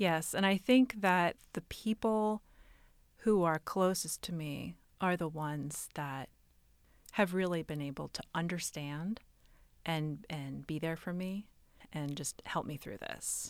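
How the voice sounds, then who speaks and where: In a very clean recording with a silent background, a woman with a fairly low pitch speaks fairly slowly, with ordinary pitch variation, big swings in loudness and long, frequent pauses. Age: 30s. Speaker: patient with autoimmune disease. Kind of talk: interview.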